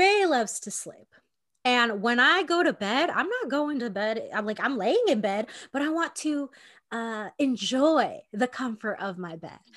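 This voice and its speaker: Loud and high-pitched, a woman speaks fairly slowly with very wide pitch swings. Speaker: podcast co-host. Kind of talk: casual chat. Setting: video call.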